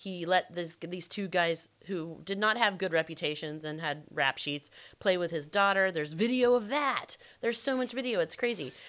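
Here is a woman with an American accent and a normal speaking voice. She keeps a moderate pace on a very clean recording with a silent background. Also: fairly low pitch for a woman, lively intonation. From US South. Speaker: true crime podcast co-host. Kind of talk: casual chat.

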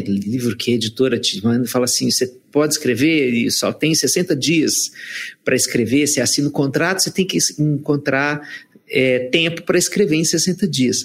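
At a moderate pace, a man with an unremarkable speaking voice talks with a fairly high pitch and ordinary pitch variation. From Brazilian sertão. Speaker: psychologist and author.

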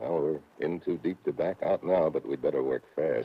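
Putting on a character voice, a man speaks extremely low with a slightly husky edge, ordinary pitch variation and a moderate pace.

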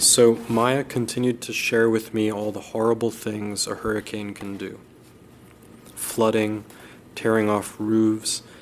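A man speaks at a fairly slow pace with a medium pitch and monotone, flat intonation. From Miami. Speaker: writing student. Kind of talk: reading aloud.

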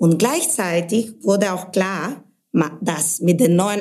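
A woman speaks very slowly in a medium pitch. Her tone is dark and mellow, with ordinary pitch variation. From Bulgaria, Sofia. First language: Bulgarian (speaking German). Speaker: brand manager. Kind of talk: interview podcast.

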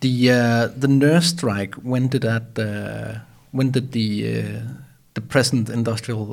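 With a Danish accent, a man speaks at a very slow pace, medium pitch and fairly even intonation. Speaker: podcast host. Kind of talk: interview conversation. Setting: studio. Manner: hesitant, many fillers.

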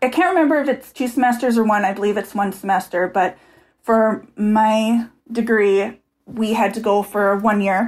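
An ordinary speaking voice from a woman with an American accent, fairly high in pitch, with ordinary pitch variation, very even loudness and a moderate pace, in a very clean recording with a silent background. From Minnesota, US Midwest. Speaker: former study-abroad student. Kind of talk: podcast interview.

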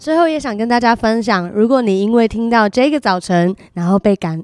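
Speaking at a moderate pace, a woman with a normal speaking voice and medium pitch is heard in a dry, close sound with no echo. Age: 30s. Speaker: church youth worker and podcast co-host. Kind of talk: casual devotional chat.

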